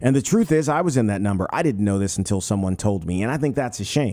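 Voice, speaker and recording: With an American accent, a man with a dark, mellow tone speaks in lively intonation on a very clean recording with a silent background. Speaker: podcast host. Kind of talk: casual interview.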